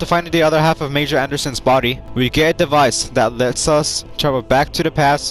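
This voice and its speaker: Music in the background behind a man's fairly high voice, fairly quick in pace with ordinary pitch variation. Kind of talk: casual gaming commentary. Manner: enthusiastic.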